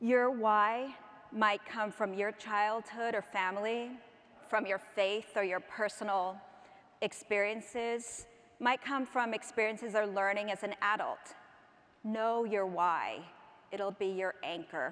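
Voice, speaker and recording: Fairly slow and fairly even in intonation, the voice speaks with a Spanish accent. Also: woman, fairly high pitch for a woman. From England until age ten, then North America. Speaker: education consultant and keynote speaker. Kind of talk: keynote speech. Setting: conference stage with audience.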